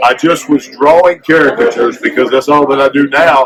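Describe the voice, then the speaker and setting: Against noticeable background noise, a man talks at a fairly quick pace and fairly high pitch in an animated tone. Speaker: former pro wrestler and caricature artist. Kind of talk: interview. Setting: convention floor.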